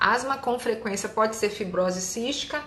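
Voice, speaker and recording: A woman of medium pitch speaks at a moderate pace with ordinary pitch variation, amid noticeable background noise and audible room echo. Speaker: allergist doctor. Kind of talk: live Q&A. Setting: live stream.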